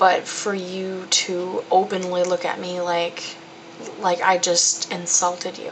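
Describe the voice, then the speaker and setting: Over noticeable background noise, a woman speaks at medium pitch with monotone, flat intonation. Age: young. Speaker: college student. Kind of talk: personal video diary. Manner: casual, candid.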